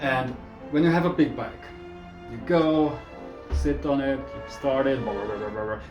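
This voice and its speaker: Music plays behind a man who speaks with a non-native accent. His pitch is medium, with ordinary variation, and his pace is moderate. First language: not English. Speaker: motorcycle vlogger. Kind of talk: casual talk to camera.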